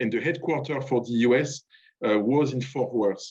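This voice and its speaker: The speaker talks at a fairly quick pace with a French accent. Pitch rises and falls in an ordinary way. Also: man. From France. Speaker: diplomat. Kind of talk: speech at online event. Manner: halting.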